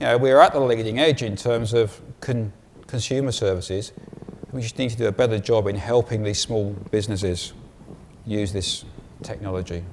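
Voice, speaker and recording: Man with an English accent, medium pitch, fairly quick pace, ordinary pitch variation, noticeable background noise. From England. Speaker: conference speaker. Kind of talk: conference talk.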